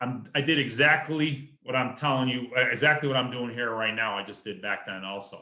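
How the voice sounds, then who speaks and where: A man with an ordinary speaking voice keeps a medium pitch, ordinary pitch variation and a moderate tempo. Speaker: real estate investor. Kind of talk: presentation at an online meeting.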